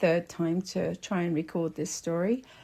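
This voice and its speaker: Somewhat breathy and dark, mellow in tone, a woman speaks at a very slow pace in a very clean recording with a silent background. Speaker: storyteller. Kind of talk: storytelling narration. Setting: at home. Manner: gentle, soothing; halting, with fillers.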